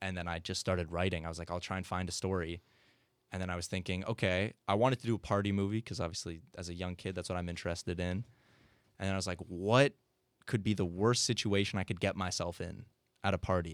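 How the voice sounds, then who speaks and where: A man with a very deep, low pitch and fairly even intonation speaks at a very fast pace in a very clean recording with a silent background. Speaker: student filmmaker and comedy writer. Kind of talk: casual interview.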